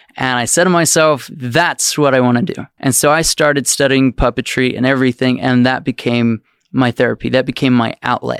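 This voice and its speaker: A man in an ordinary speaking voice with an American accent, at medium pitch with fairly even intonation and very even loudness, fairly quick with hardly any pauses, dry and close with no echo, on a very clean recording with a silent background. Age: 20s. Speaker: children's book author and puppeteer. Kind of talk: casual interview chat.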